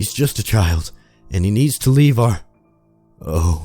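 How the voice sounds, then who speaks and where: A shaky, put-on character voice with very wide pitch swings at a fairly slow pace, with music in the background. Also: man, fairly low pitch for a man. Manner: scared, hushed.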